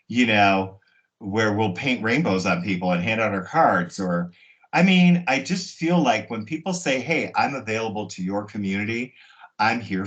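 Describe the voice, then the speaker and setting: The speaker keeps a moderate pace with lively intonation. It is an ordinary speaking voice. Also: man. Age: 60s. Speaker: hairstylist. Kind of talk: interview.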